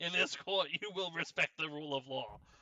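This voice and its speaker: Putting on a gruff character voice, a man talks at a fairly quick pace in a fairly high pitch. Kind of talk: mock courtroom speech. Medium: game stream. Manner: gruff, impatient.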